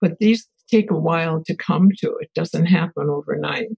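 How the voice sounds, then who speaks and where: A woman speaks at a moderate pace in a medium pitch, somewhat breathy, with ordinary pitch variation and a dry, close sound with no echo. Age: 80s+. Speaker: family therapist and researcher. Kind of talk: interview answer.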